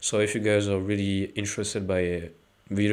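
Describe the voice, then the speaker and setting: Speaking at a very fast pace, a man keeps his pitch fairly low. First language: not English. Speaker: anime video essayist, YouTuber. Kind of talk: casual outro talk to viewers. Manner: hesitant, many fillers.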